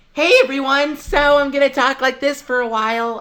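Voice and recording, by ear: A put-on character voice talks in a high pitch. The pace is moderate.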